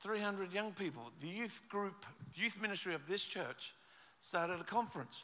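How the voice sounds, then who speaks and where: Here a man with an Australian accent speaks in a high voice with a bright, sharp tone. His pace is moderate and his pitch variation ordinary. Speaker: pastor. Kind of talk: sermon.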